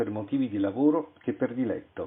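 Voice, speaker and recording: Lively intonation marks this man's moderate-paced delivery. He has a normal speaking voice. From Italy, Venice. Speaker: author. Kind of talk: reading aloud.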